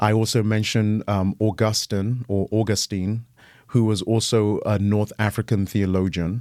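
A man with a British accent talks at a moderate pace in a fairly low, dark, mellow voice. His intonation stays monotone and flat, and the sound is dry and close with no echo. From Ghana, then raised in England. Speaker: pastor, guest speaker. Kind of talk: casual chat.

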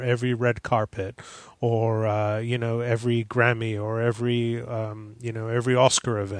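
A man at a medium pitch has an unremarkable speaking voice and talks at a moderate pace, recorded with a quiet background and a dry, close sound with no echo. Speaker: Mac consultant. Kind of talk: casual chat.

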